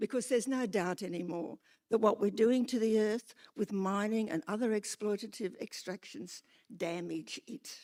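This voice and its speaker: With an Australian accent, a woman speaks at a fairly high pitch in a dark, mellow tone, with ordinary pitch variation. Her moderate pace comes through a dry, close sound with no echo. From Australia, Newcastle NSW. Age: 80s+. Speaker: retired lecturer, public speaker. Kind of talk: public hearing submission.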